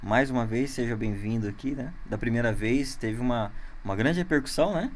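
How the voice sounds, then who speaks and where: Audible room echo surrounds the voice. It talks at a fairly quick pace with ordinary pitch variation. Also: man, medium pitch for a man. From interior of São Paulo state, Brazil. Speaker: podcast host. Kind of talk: casual interview. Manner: halting, many fillers.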